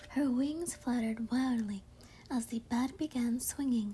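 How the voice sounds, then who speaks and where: Soft-spoken, the speaker talks at a fairly slow pace. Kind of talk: read story; ASMR bedtime story.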